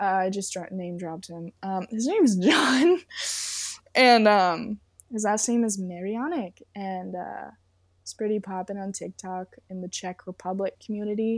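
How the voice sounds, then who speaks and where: A woman with an American accent speaks at a fairly slow pace and medium pitch, with ordinary pitch variation and big swings in loudness, on a very clean recording with a silent background. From Southern California. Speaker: model and singer. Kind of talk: casual interview chat.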